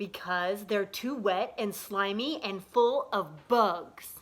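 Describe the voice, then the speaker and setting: A woman puts on a character voice at a medium pitch, speaking very slowly. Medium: read story. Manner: menacing, smug.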